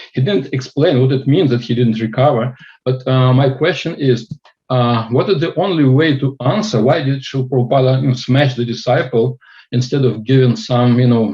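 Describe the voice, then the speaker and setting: This man talks at a moderate pace and a medium pitch. His voice is somewhat breathy, with ordinary pitch variation. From Russia (Far East). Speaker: student asking a question. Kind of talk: Q&A question. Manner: halting.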